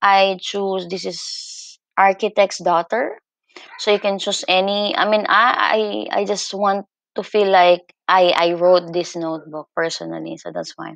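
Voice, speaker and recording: A woman with a non-native accent, at a medium pitch and a fairly slow pace, with fairly even intonation over a quiet background. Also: dry sound with no echo. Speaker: teacher. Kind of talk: screen-recorded tutorial. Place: home room. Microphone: webcam.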